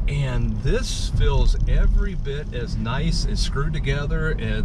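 A man's voice, dry with no echo, against loud background noise. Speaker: car reviewer driving. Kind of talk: car review commentary. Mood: cheerful, joking. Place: car. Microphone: phone near.

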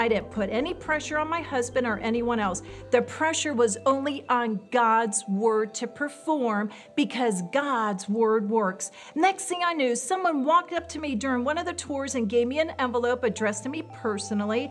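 High-pitched female speech at a moderate pace, with faint music in the background. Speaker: pastor giving testimony. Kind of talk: testimony to women's audience. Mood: joyful, grateful. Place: studio.

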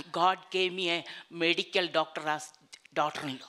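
A woman speaks with an Indian accent. Her pace is moderate. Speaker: preacher. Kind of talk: sermon at a women's conference. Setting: stage with audience. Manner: animated, warm, exhorting with frequent laughs and Hallelujahs; digressive, chatty, ad-libbing. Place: church. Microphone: handheld.

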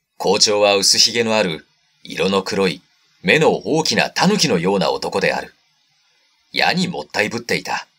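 A man speaks at a moderate pace with very wide pitch swings while music plays in the background. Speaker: actor and narrator. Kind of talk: literary audiobook reading.

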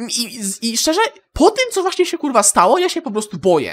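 A man in a furious, bright, sharp tone with very wide pitch swings, at a moderate pace. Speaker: gaming YouTuber. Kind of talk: angry profanity-laden rant to camera. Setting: home recording, solo video. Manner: furious, swearing constantly, venting, stumbling over words.

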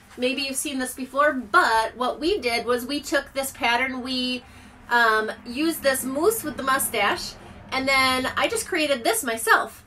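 A woman's raised, projected voice at a fairly slow pace, with ordinary pitch variation over light background noise. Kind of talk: casual live stream product chat. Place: home room. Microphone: phone near.

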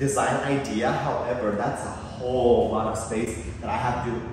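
Amid noticeable background noise and strong room echo, a man speaks with fairly even intonation. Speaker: vlogger touring his apartment. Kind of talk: casual vlog chat. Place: home room.

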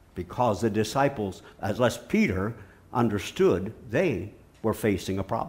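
Very slowly and with very even loudness, a man talks in a fairly low, somewhat breathy voice with ordinary pitch variation. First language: English (speaking Portuguese). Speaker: visiting preacher. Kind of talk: sermon. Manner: short phrases with pauses for interpreter. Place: hall.

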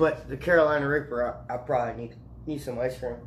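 A man speaks at a fairly quick pace. Audible room echo and light background noise surround his voice. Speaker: vlogger. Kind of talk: casual vlog chat. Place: kitchen. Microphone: phone near.

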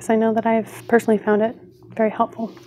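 Light background noise sits behind a woman's voice. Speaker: video creator. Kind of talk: casual vlog chat. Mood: warm, friendly. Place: home room. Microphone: phone near.

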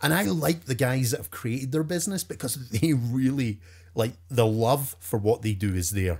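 In a Scottish accent, a man talks at a moderate pace with medium pitch, lively intonation and a somewhat breathy quality, recorded very cleanly with a silent background. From Scotland. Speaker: professional storyteller. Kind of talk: interview answer.

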